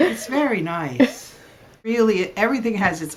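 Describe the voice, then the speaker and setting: A woman with an American accent swings her pitch very widely, with audible room echo. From New Jersey. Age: old. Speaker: interviewee, retired artist. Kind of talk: casual interview.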